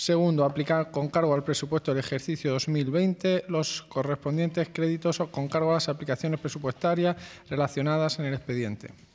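Speaking at a fairly quick pace with hardly any pauses, a man keeps his intonation fairly even. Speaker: council secretary reading agenda item. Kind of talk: formal reading of a council resolution. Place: hall.

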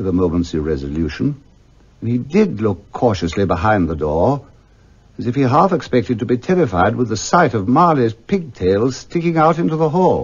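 The speech has vocal fry and very wide pitch swings. It moves at a moderate pace. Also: man. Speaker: actor. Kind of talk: classic radio story narration.

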